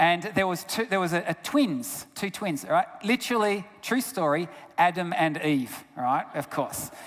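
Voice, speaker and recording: In an Australian accent, a man talks at a fairly slow pace with a high pitch and lively intonation. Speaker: health researcher and guest speaker. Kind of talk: sermon-style talk. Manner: animated.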